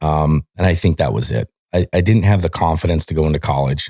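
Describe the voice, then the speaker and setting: A man with a very deep, low voice, a dark, mellow tone and vocal fry talks at a very fast pace. The sound is dry and close, with no echo. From Montana, US. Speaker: military veteran. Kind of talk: casual chat. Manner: animated.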